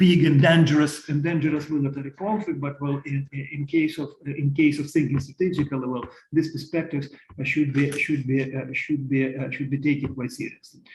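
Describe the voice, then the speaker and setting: Somewhat breathy, a man with a fairly high pitch talks at a fairly quick pace in a monotone, flat intonation. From Ukraine. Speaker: economist panelist. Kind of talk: online panel presentation. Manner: halting, many fillers.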